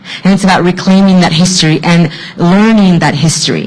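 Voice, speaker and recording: A woman with a Spanish accent at a medium pitch and moderate pace, over noticeable background noise. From Mexico, immigrated to US as a child. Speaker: author. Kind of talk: panel discussion.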